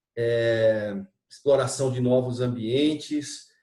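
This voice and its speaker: Here a man's voice sits at a medium pitch with a dark, mellow tone. It is somewhat breathy, and the pitch varies in an ordinary way. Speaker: interviewer, channel host. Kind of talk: interview.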